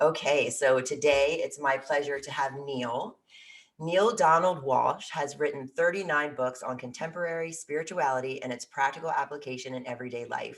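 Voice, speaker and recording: At a moderate pace, a woman speaks at a very deep, low pitch with ordinary pitch variation. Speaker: spirituality talk show host. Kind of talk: reading guest introduction.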